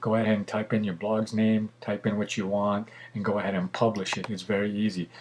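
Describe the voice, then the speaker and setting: Flat and monotone, a man talks at a fairly quick pace with a fairly low pitch. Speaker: photographer and tutorial maker. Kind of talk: tutorial. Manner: fast; casual with many fillers.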